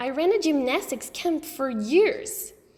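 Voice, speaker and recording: The speaker adopts a put-on character voice and keeps to a fairly slow pace. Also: woman, extremely high pitch for a woman. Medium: read story.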